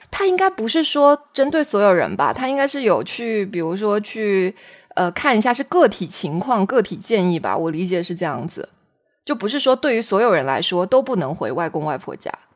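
A woman speaks at a moderate pace and a medium pitch with very wide pitch swings, on a very clean recording with a silent background. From Xiamen, Fujian, China. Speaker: podcast co-host, new mother. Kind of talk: casual chat.

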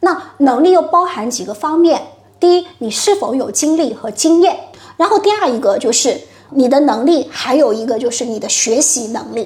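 With noticeable background noise behind her, a woman with a high pitch speaks at a moderate pace, her pitch swinging very widely. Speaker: HR consultant. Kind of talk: interview.

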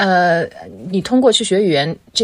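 A woman with a plain, everyday voice and ordinary pitch variation. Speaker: guest, multilingual language graduate. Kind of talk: casual chat.

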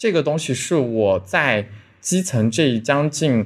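The recording is very clean, with a silent background. A man speaks at a medium pitch with very wide pitch swings. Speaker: police officer. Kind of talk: interview, personal story. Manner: halting, many fillers.

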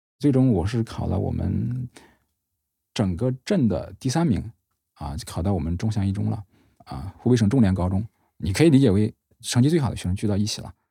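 A man's fairly low, dark, mellow and somewhat breathy voice in a Henan accent, with lively intonation, a fairly quick pace and long, frequent pauses. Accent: Henan accent, northern-sounding. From Hubei (Zhongxiang), Henan migrant family. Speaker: third-generation reservoir migrant, new-media worker. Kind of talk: personal testimony.

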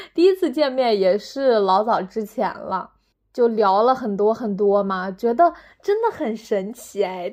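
A woman with a slight Northeast Chinese accent and an animated tone speaks at a fairly slow pace, fairly high in pitch with lively intonation. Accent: slight northeastern-sounding Mandarin. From northern China. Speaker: podcaster. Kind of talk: casual solo monologue. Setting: at home.

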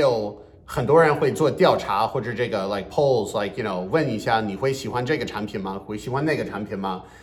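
A man with an English accent talks at a fairly quick pace, his pitch swinging very widely. Audible room echo and noticeable background noise are present. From US Northeast. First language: English (speaking Chinese). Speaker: bilingual comedian. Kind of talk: podcast interview.

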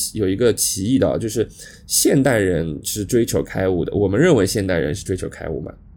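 A man's dark, mellow tone with vocal fry, very wide pitch swings and a fairly quick pace. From Shanghai. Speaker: podcast co-host. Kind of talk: casual chat. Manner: halting, many fillers.

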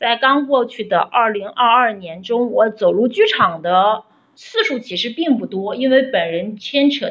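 A woman's ordinary speaking voice, fairly high in pitch with ordinary variation, at a fairly slow pace. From Shaanxi, Xi'an. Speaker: opera fan. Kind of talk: prepared recorded message. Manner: formal.

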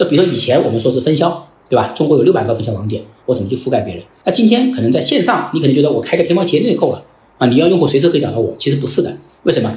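Very fast speech from a man, fairly high in pitch with very wide pitch swings, in audible room echo. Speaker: company founder. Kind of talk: interview conversation.

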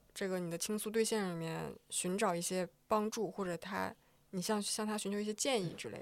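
On a very clean recording with a silent background, a woman with an unremarkable speaking voice talks at a fairly quick pace, her intonation fairly even but her loudness swinging widely. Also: medium pitch for a woman. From eastern Inner Mongolia, in the Northeast China region. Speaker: podcast producer. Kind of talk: casual chat. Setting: office.

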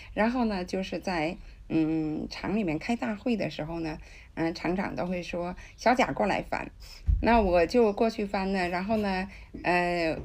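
Speaking at a fairly slow pace, a woman has a plain, everyday voice. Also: very clean recording, silent background. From China, Tianjin. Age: 60s. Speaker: interpreter. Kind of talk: interview.

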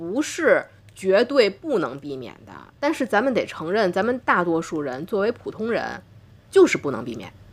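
A woman with a northern Chinese accent talks at a moderate pace in an animated tone, her medium pitch swinging very widely, with vocal fry and big swings in loudness. The recording is very clean, with a silent background. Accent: noticeable northern Chinese. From Tianjin, China. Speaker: doctor and podcast host. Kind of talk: casual interview conversation.

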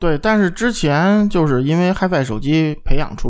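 A man speaks at a fairly quick pace with ordinary pitch variation and a slightly mellow tone.

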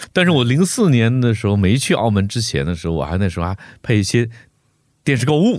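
A man talks at a very fast pace and medium pitch with very wide pitch swings, in a very clean recording with a silent background. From Heilongjiang, northeast China. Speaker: voice actor. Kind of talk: casual chat.

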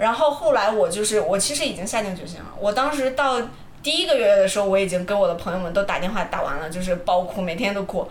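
Over noticeable background noise and audible room echo, a woman talks at a very fast pace with medium pitch and lively intonation. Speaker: podcast co-host. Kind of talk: casual chat.

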